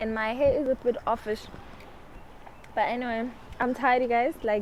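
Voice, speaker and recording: A woman talks in a high voice with monotone, flat intonation. Noticeable background noise can be heard. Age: 20s. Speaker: lifestyle vlogger. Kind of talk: casual chat. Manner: fast.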